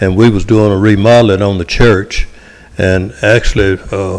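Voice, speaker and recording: A man speaks at a fairly slow pace in a fairly low pitch, with a Tennessee accent. His intonation is monotone and flat, and there is noticeable background noise. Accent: Southern US (Tennessee). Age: 70s. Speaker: local resident speaking at public hearing. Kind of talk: public comment at council meeting. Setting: city council meeting.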